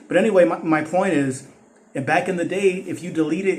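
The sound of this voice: A man's slightly mellow tone, fairly even intonation and moderate pace, with audible room echo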